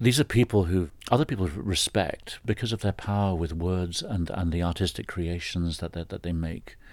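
A man with a southern English accent has a very deep, low pitch and ordinary pitch variation. He keeps a moderate pace with hardly any pauses, on a very clean recording with a silent background. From England, Brighton. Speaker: folklore professor. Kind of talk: interview. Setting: office. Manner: halting, with repetitions.

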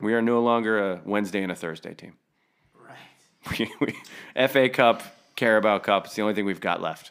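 Speaking in a normal speaking voice at a fairly low pitch, a man keeps a moderate pace and fairly even intonation on a very clean recording with a silent background. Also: big swings in loudness. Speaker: podcast co-host. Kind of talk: casual chat.

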